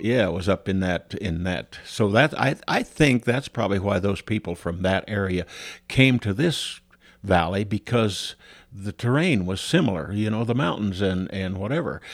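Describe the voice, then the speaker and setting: Speaking at a moderate pace, a man uses a fairly low pitch with ordinary variation. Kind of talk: elder telling life story in an interview, recalling army days and family roots. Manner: casual, rambling and halting, with frequent restarts and fillers; eager to jump in.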